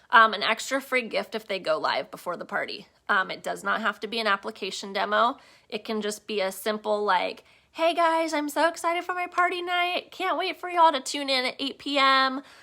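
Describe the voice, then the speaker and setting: A woman speaks in a raised, projected voice with a bright, sharp tone, high pitch and very wide pitch swings at a fairly quick pace. The recording is very clean, with a silent background. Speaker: direct sales team leader. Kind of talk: live training session.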